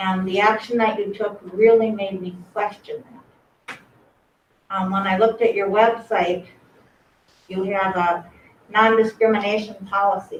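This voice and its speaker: Shaky and monotone, a woman at medium pitch talks at a fairly slow pace with long, frequent pauses. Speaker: member of the public commenting. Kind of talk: public comment speech. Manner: shaky voice.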